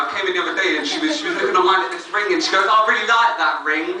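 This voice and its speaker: Over noticeable background noise and audible room echo, a man uses a raised, projected voice that is high in pitch with very wide pitch swings. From North London. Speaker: stand-up comedian. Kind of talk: stand-up. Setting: stage with audience. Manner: hesitant, many ums.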